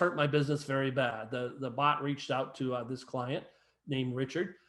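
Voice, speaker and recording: This man's voice sits fairly high. He talks at a very fast pace. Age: old. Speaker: real estate agent and presenter. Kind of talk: webinar presentation. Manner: animated.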